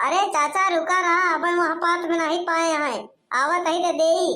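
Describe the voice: A woman uses a cartoonish character voice at an extremely high pitch, with monotone, flat intonation. Her loudness stays very even, and her pace is moderate.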